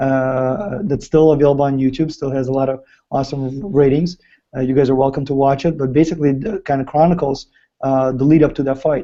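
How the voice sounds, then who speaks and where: Fairly quick and fairly high-pitched, a man with a Ukrainian accent speaks with fairly even intonation. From Ukraine. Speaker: fighter's business partner and chat host. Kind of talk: live video chat with fans. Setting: live video stream.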